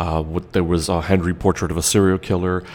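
A man speaks with a very deep, low pitch. His intonation stays fairly even at a moderate pace. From Trinidad. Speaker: podcast host. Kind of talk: solo podcast monologue. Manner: casual, conversational with many fillers.

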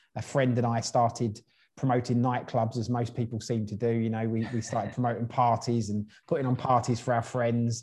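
This man talks at a fairly quick pace and medium pitch. His delivery is monotone and flat, and somewhat breathy. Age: 30s. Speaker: entrepreneur. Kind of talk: interview.

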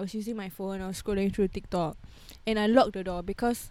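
Dark, mellow tone from a woman of medium pitch, at a fairly quick pace. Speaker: podcast host. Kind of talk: casual chat.

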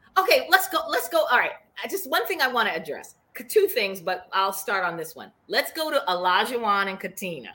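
A woman's animated, fairly high voice in a Boston accent, with very wide pitch swings, big swings in loudness and a fairly quick pace. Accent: Boston, noticeable. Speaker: podcast co-host. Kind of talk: casual chat, reality TV recap. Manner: animated, excitable.

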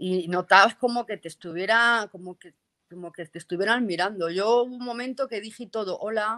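A woman speaks with a Castilian accent at a moderate pace and with ordinary pitch variation. Her tone is bright and sharp, and the sound is dry and close with no echo. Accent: Castilian Spanish (Spain). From Castile and León, Spain (near Burgos). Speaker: paranormal investigator. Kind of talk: casual interview.

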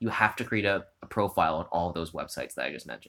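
Very fast pace and lively intonation from a man with a Canadian accent, in a very clean recording with a silent background. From Ontario, Canada (Hamilton). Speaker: theatre director and playwright. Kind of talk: interview, advice. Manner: casual with many fillers.

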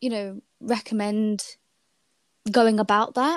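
A woman with a slight British accent. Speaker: podcast host and university student. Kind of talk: casual interview chat.

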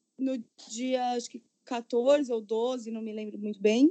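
A woman with a high voice speaks at a fairly slow pace. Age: 30s. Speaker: style consultant, digital nomad. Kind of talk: casual chat. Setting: home recording.

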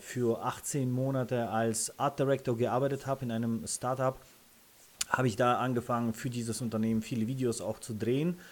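Through noticeable background noise, a man with a Russian accent speaks with fairly even intonation. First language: Russian (speaking German). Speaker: freelance photographer and content creator. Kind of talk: interview. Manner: hesitant with many fillers.

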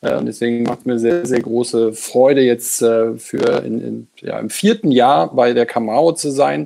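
A man speaks with lively intonation and a dark, mellow tone. His pace is fairly slow, with hardly any pauses. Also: medium pitch for a man. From Lower Saxony, Germany. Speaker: agency executive. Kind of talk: interview. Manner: halting.

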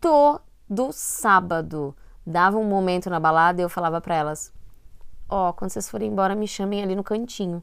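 On a very clean recording with a silent background, a woman with a plain, everyday voice speaks at a medium pitch and a moderate pace. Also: lively intonation. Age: 30s. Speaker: podcast co-host. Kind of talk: casual chat.

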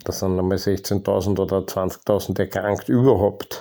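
Recorded very cleanly against a silent background, a man speaks in a fairly low pitch with a dark, mellow tone. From Austria. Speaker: podcast host. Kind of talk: personal monologue. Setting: home basement.

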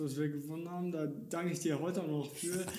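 A man's fairly high voice with a dark, mellow tone, fairly even intonation, and audible room echo. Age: 40s. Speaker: singer in an inclusive rock band. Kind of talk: casual chat. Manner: halting, repeats words.

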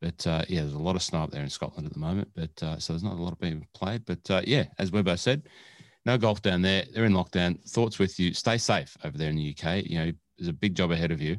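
Very deep and low in pitch, a man speaks very fast with an Australian accent and ordinary pitch variation. The recording is very clean with a silent background, and the sound is dry and close with no echo. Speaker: podcast co-host and producer. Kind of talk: casual chat. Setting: studio. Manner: animated.

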